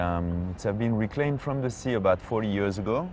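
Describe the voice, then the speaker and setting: In a French accent, a man speaks at a fairly quick pace over noticeable background noise. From Monaco. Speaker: local guide, Monegasque. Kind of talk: interview answer.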